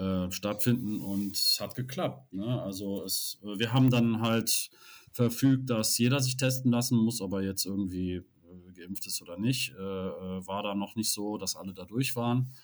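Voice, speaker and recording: Fairly slow and at a medium pitch, a man speaks with ordinary pitch variation in an unremarkable speaking voice, on a very clean recording with a silent background. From Rhineland, Cologne area. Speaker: LARP event organiser, club chairman. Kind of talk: casual chat.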